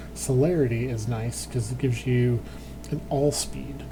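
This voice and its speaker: Noticeable noise sits in the background. The talking proceeds at a moderate speed. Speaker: gaming youtuber. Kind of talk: let's play commentary. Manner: casual, thinking aloud.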